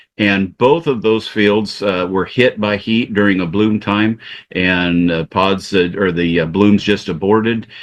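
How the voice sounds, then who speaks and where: A fairly low-pitched man's voice at a fairly slow pace, with very even loudness and ordinary pitch variation, over a quiet background. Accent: American. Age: 60s. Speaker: farmer. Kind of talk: webinar presentation. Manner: halting, many fillers.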